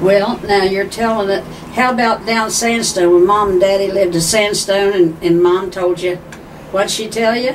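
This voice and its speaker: Delivered in an Appalachian accent with fairly even intonation, the speech carries audible room echo and noticeable background noise. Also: woman, medium pitch for a woman, moderate pace. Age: 80s. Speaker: family member interviewing her sister. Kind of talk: family reminiscence interview. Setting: living room of sister's condo.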